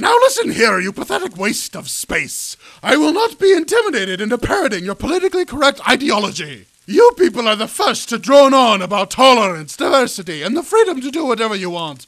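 A put-on character voice with very wide pitch swings, a fairly quick pace and hardly any pauses. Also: man, extremely high pitch for a man. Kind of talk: comic machinima voice acting. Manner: indignant, theatrical, scheming.

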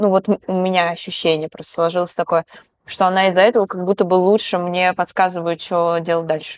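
A woman speaks at a fairly quick pace in a monotone, flat intonation, with a dry sound, no echo and a quiet background. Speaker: podcast host. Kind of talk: interview. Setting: studio. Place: studio. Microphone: lapel.

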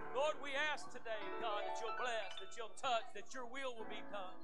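Loud music plays in the background as a man talks at a moderate pace with ordinary pitch variation. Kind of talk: welcome and public prayer. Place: church.

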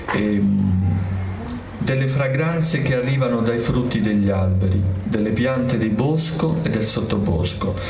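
A man at medium pitch talks at a fairly slow pace with long, frequent pauses. Noticeable background noise runs underneath. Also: lively intonation. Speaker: literary critic. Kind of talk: jury citation reading. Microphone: podium.

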